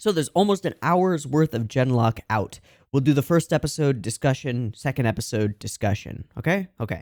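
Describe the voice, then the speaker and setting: With lively intonation and a medium pitch, a man talks at a moderate pace. The recording is very clean and dry, with a silent background, a close sound and no echo. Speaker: anime reaction youtuber. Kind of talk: casual reaction-video chat. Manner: jittery.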